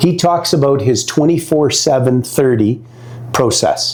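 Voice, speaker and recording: A man talks in an animated tone at a fairly high pitch, with ordinary pitch variation. Noticeable background noise sits behind him. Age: 60s. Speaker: networking expert. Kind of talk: interview advice chat.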